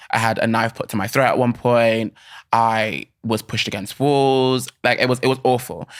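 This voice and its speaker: A man speaks with a southern English accent at a medium pitch. His delivery is monotone and flat. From England (Bishop's Stortford, Hertfordshire/Essex). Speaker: creative, podcast guest. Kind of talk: casual chat. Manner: fast, filler-heavy ('like').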